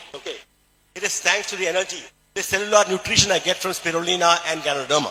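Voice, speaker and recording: Speaking very fast in a Keralan accent, a man uses a high pitch and fairly even intonation. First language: Malayalam. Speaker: doctor and health speaker. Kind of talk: motivational health talk.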